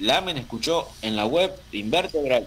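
Using a normal speaking voice, a man with a fairly high pitch speaks with lively intonation. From Argentina. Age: 40s. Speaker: metal musician. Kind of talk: interview.

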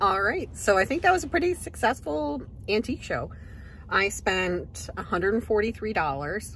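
A woman talks at a moderate pace. The sound is dry with no echo, with light background noise. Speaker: vintage reseller vlogger. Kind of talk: casual vlog chat. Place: car. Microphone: phone near.

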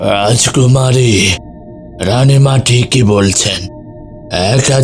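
A man's cartoonish character voice at a very slow pace over clear music in the background

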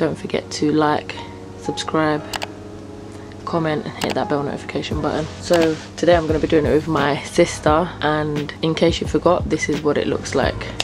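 A woman with a very deep, low pitch at a moderate pace, clear music in the background. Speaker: vlogger. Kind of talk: casual vlog chat. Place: home room. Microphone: phone near.

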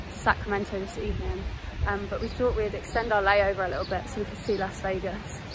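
A woman at a fairly quick pace, with noticeable background noise and a dry sound with no echo. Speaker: vlogger. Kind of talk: casual vlog chat. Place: street. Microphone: phone near.

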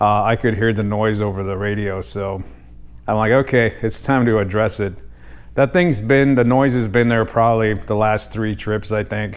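A man with a fairly low pitch keeps a moderate pace and fairly even intonation. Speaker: DIY mechanic vlogger. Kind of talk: casual vlog chat. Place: garage. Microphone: lapel.

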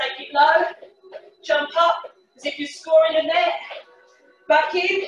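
A woman at an extremely high pitch and a very slow pace, with audible room echo and faint music in the background. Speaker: fitness instructor. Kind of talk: workout class instruction. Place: kitchen. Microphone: webcam.

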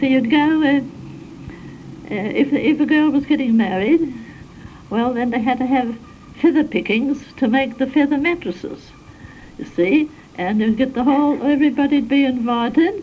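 Over light background noise, a woman with a high pitch speaks at a moderate pace with ordinary pitch variation and long, frequent pauses. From South Australia. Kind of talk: interview answer. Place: home room. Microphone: old recording.

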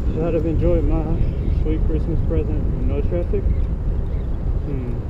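Over loud background noise, a man talks at a fairly slow pace. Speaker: electric bike rider. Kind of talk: casual ride vlog talk. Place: motorbike. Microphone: helmet.

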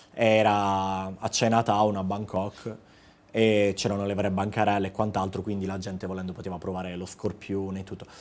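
Monotone, flat intonation at a moderate pace. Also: man, fairly low pitch for a man. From Apulia, Italy (Gioia del Colle, province of Bari); Apulia, Italy. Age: 30s. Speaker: travel blogger. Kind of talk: casual TV interview. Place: studio. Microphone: lapel.

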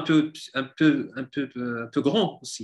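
A man's fairly high voice at a very slow pace, with ordinary pitch variation, over a quiet background. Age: 40s. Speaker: hobbyist woodworker, civil servant; guest. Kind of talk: interview. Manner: halting, many repetitions. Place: home room. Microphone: video call.

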